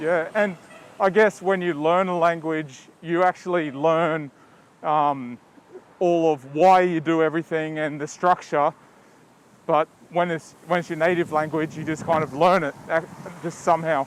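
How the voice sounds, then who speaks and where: At a moderate pace broken by long, frequent pauses, a man with a fairly high pitch speaks in a fairly even intonation. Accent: Australian. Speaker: podcast host. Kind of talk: casual interview chat.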